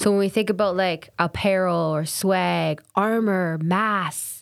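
A woman talks in an ordinary speaking voice at a fairly slow pace, with fairly even intonation, on a very clean recording with a silent background. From Canada, Kingston, Ontario. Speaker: spoken word poet and educator. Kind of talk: interview conversation. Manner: casual, frequent um and like.

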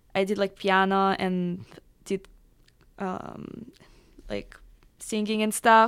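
On a very clean recording with a silent background, a woman speaks at a medium pitch in a monotone, flat intonation. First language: Russian. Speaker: electronic music producer and DJ. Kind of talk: radio interview. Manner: halting.

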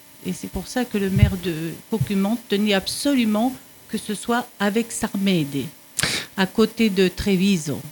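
Noticeable background noise accompanies a woman of medium pitch who talks at a very slow pace with lively intonation. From France. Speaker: retiree, Italian conversation learner. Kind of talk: radio interview.

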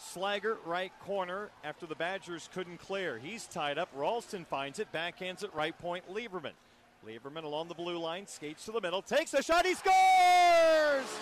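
A high-pitched man's voice with lively intonation at a moderate pace, amid noticeable background noise. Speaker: radio sports host. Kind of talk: live sports radio talk show; hockey play-by-play recap. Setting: radio studio.

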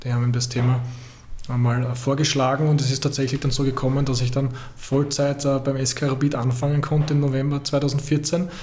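Over noticeable background noise and audible room echo, a man with a medium pitch talks at a fairly quick pace in a monotone with flat intonation. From Austria, Vienna / Purkersdorf. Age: 40s. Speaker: football federation digital content head. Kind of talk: interview.

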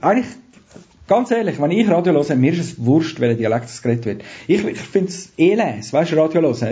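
A man's fairly high, somewhat breathy voice at a very fast pace, with lively intonation. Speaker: radio producer and trainer. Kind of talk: casual interview.

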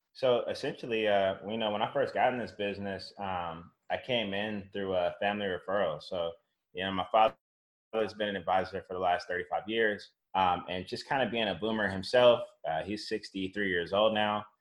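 A man speaks in an unremarkable speaking voice at a fairly low pitch. His pace is moderate and his intonation fairly even. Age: 30s. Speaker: financial advisor. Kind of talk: casual interview.

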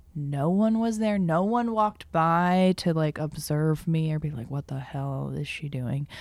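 A woman speaks with a very deep, low pitch and lively intonation. Her fairly slow speech has hardly any pauses, in a very clean recording with a silent background. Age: 30s. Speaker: speech therapist and improv performer. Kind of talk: casual interview. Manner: hesitant, many fillers.

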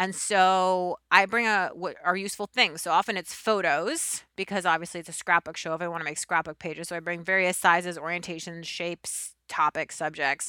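Delivered at a fairly quick pace with hardly any pauses, the voice has a bright, sharp tone and fairly even intonation, in a dry, close sound with no echo and a very clean recording with a silent background. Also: woman, fairly low pitch for a woman. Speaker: podcast host and TV craft show host. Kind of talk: casual chat. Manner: fast.

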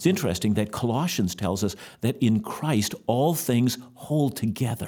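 In a very clean recording with a silent background, a man with a medium pitch and a dark, mellow tone speaks at a moderate pace, his intonation lively and his loudness very even. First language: German. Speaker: bible teacher. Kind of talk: religious Q&A discussion. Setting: studio.

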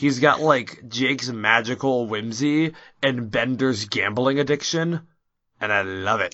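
The man speaks at a medium pitch. His pace is fairly slow, with ordinary pitch variation. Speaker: podcast host. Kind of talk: casual chat. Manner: excitable.

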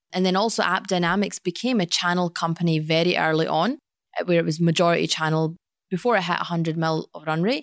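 A woman speaks very fast in a Glaswegian accent, her pitch fairly low with ordinary variation. The sound is dry and close, with no echo. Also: very clean recording, silent background. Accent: Glaswegian Scottish. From Scotland, Glasgow. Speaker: sales executive. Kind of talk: interview. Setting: office boardroom.

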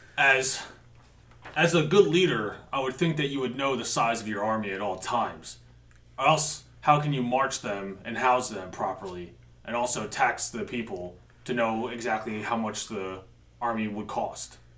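This man uses a put-on character voice at a medium pitch. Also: moderate pace. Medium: actual play. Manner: blunt, measured and calculating.

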